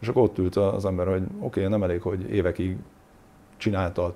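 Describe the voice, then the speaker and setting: A man talks at a fairly quick pace in a very deep, low voice. His tone is dark and mellow. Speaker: former professional footballer. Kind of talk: interview. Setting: studio.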